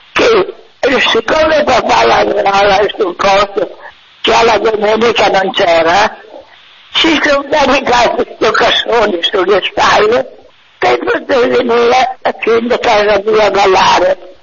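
Lively intonation and very even loudness mark a woman's fairly high voice. Noticeable background noise is audible. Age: 80s+. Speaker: elderly caller. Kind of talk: phone-in conversation. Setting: phone call. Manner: halting.

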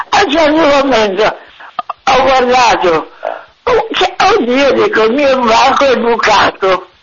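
Very wide pitch swings and long, frequent pauses mark this very slow delivery, held at a very even loudness over noticeable background noise. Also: woman, high pitch for a woman. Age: 80s+. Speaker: elderly caller. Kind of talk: phone-in conversation. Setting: phone call. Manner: halting.

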